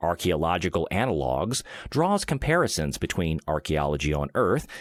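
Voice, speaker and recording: On a very clean recording with a silent background and a dry, close sound with no echo, a man with a very deep, low pitch speaks at a moderate pace with lively intonation. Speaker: voice actor. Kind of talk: sleep-aid reading of an encyclopedia article.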